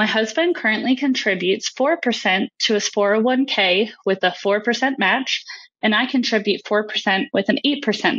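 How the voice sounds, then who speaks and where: In an ordinary speaking voice, a woman talks at a fairly slow pace and fairly high pitch, with very even loudness. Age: 30s. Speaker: caller, technical sales. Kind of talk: recorded voicemail question.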